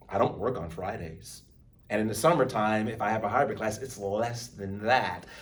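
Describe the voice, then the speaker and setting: Heard with audible room echo, a man with an American accent speaks at a moderate pace in a fairly low, somewhat breathy voice with ordinary pitch variation. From Texas, Baytown. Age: 50s. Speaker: college speech instructor. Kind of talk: lecture.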